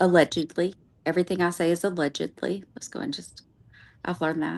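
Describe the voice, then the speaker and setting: Speaking at a fairly quick pace with a Southern accent, a woman uses a fairly low voice with ordinary pitch variation and big swings in loudness. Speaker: true crime streamer. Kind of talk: casual chat. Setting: live stream.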